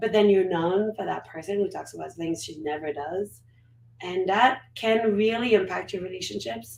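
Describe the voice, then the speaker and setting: A woman at medium pitch speaks at a moderate pace with lively intonation and big swings in loudness. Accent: French. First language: French. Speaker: guest on a personal growth stream. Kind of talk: casual interview chat. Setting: live stream.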